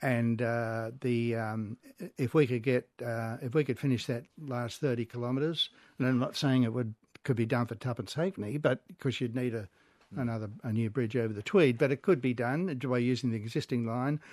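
A fairly quick male speaker of medium pitch, ordinary pitch variation, and a dry, close sound with no echo. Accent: Australian. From Sydney, Australia (Como, Georges River). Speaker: railway historian. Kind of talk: radio interview.

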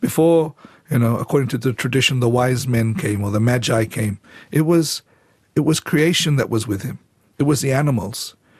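A man speaks at a moderate pace in a fairly high pitch, with lively intonation. His voice is somewhat breathy, and the sound is dry and close with no echo. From Fiji. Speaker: church leader. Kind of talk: radio interview. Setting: studio. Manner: halting.

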